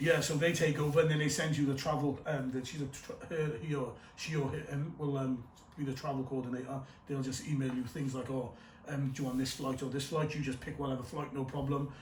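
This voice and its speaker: With noticeable background noise and audible room echo, a man with a fairly high pitch talks at a fairly quick pace. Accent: Cardiff. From Wales, Cardiff. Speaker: actor. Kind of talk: casual chat. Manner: animated.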